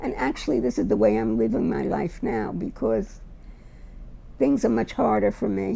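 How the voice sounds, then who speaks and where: A New York accent comes through. The delivery keeps a moderate speed. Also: woman. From US, Brooklyn, New York. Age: 80s+. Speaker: retired teacher. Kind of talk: interview testimony.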